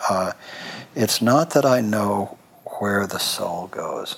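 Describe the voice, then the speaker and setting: A man whispering over noticeable background noise. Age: 60s. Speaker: cancer program director and interviewer. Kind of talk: interview conversation.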